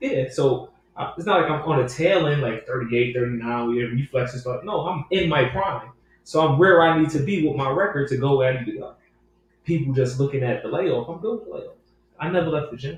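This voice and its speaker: In a normal speaking voice, a man with a fairly high pitch talks at a fairly quick pace with ordinary pitch variation. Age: 30s. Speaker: professional boxer. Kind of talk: casual interview.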